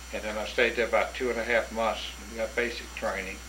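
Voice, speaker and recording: Over noticeable background noise and audible room echo, a man talks at a fairly quick pace with a Southern US accent. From north Florida. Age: 70s. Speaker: war veteran. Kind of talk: oral history interview.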